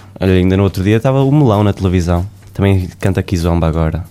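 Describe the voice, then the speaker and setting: A man's very deep, low voice at a very fast pace, with ordinary pitch variation and noticeable background noise. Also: very even loudness. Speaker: podcast host. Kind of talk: casual interview chat. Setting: studio.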